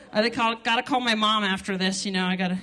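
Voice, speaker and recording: A woman speaks at a fairly quick pace with audible room echo. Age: 30s. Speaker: stand-up comedian. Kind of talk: stand-up. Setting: stage with audience. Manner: animated.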